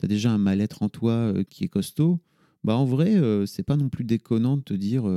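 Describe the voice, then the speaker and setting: With lively intonation, a man speaks at a fairly slow pace in a dark, mellow tone. The sound is dry and close with no echo. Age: 40s. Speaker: podcaster and media entrepreneur. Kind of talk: casual chat.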